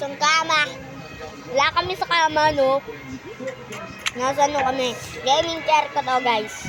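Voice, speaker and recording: Against noticeable background noise, a woman with a high pitch and ordinary pitch variation speaks at a fairly slow pace with long, frequent pauses. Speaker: gaming youtuber. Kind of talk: casual gaming chat. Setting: in gaming chair at home.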